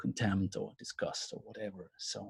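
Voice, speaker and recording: Dark and mellow in tone and somewhat breathy, a man's voice comes across dry and close with no echo. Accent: German. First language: German. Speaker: counselling lecturer. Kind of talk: webinar lecture. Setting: video call. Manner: halting.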